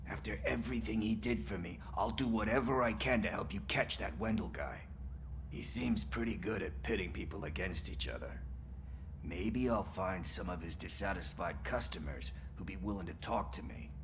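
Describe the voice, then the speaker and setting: A man puts on a character voice at a moderate pace while loud background noise fills the clip. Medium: video game. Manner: casual, breezy.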